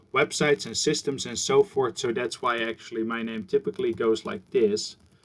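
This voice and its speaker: A man with a Dutch accent, fairly high pitch, very wide pitch swings, and a moderate pace. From Netherlands, Gouda (South Holland). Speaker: university professor. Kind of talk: recorded lecture introduction. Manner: casual, conversational.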